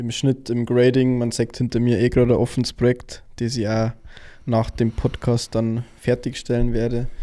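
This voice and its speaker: At a medium pitch, a man speaks with a dark, mellow tone and monotone, flat intonation. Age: 20s. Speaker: videographer and podcast co-host. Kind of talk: casual chat.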